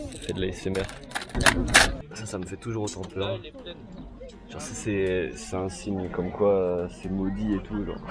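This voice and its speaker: Against noticeable background noise and audible room echo, a man with a very deep, low pitch speaks at a fairly slow pace with fairly even intonation and big swings in loudness. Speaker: vlogger. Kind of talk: casual vlog chat.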